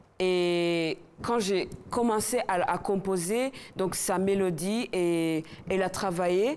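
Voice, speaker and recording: A woman at a very slow pace, her loudness very even throughout. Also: medium pitch for a woman, ordinary pitch variation. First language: not French (speaking French). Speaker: singer. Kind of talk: interview. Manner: halting.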